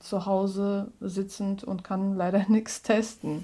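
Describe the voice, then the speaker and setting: In a Russian accent, the voice has a dark, mellow tone on a very clean recording with a silent background. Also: woman. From Russia (Moscow). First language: Russian (speaking German). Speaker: musical comedian. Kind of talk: casual interview. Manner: halting.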